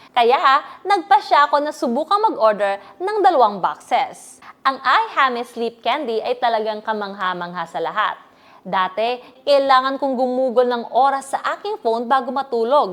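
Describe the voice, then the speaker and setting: Against noticeable background noise, a woman speaks at a moderate pace in a high pitch, making very wide pitch swings. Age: 20s. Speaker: online seller giving product testimonial. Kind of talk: scripted sales testimonial.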